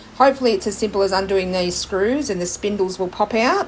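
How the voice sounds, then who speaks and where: Her pitch variation ordinary, a woman talks in an Australian accent. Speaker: furniture flipping YouTuber. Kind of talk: DIY vlog tutorial.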